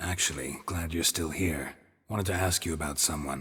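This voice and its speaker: A man puts on a character voice that is raspy and very deep, low in pitch. He delivers it in a deadpan tone at a moderate pace. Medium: video game. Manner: terse, deadpan.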